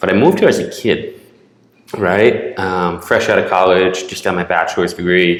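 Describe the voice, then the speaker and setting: Audible room echo fills the space. A man speaks there at a moderate pace. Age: 30s. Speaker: videographer and media agency founder. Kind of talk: casual interview chat.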